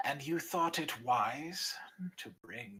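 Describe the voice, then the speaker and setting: A put-on character voice is delivered at a low-to-middle pitch. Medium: actual play. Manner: proud, fierce.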